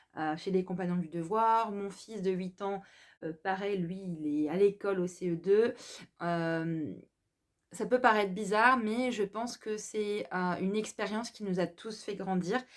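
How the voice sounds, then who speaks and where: A woman's medium-pitched voice, fairly slow and with ordinary pitch variation, on a very clean recording with a silent background. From France, Alsace. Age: 30s. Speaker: self-employed vlogger presenting her business. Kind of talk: personal introduction monologue. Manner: hesitant, many fillers.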